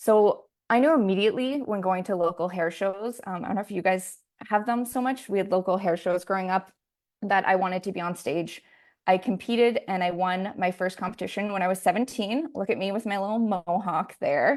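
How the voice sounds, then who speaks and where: At a fairly quick pace, a woman with a Canadian accent talks at a medium pitch with ordinary pitch variation. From Canada, Alberta. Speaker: hairstylist and salon owner. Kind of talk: online masterclass presentation. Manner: fast.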